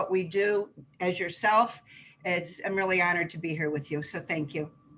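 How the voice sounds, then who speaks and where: Using an ordinary speaking voice, the speaker talks with an American accent at a moderate pace and with fairly even intonation. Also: woman. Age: 60s. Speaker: health food store owner. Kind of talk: interview conversation.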